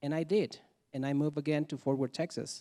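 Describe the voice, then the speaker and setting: A man's dark, mellow voice with a Mexican accent, dry and close with no echo, on a very clean recording with a silent background. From Mexico. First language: Spanish. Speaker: immigrant storyteller. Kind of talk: live storytelling.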